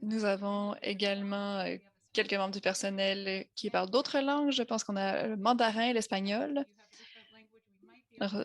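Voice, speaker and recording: At a moderate pace, a woman with an American accent speaks with fairly even intonation. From United States. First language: English (speaking French). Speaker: associate director of a health-language program. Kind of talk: conference presentation. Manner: hesitant, with frequent fillers.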